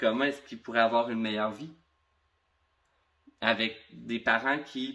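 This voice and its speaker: The speaker is a man. He talks in a Quebec accent. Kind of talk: talk to camera about personal experience.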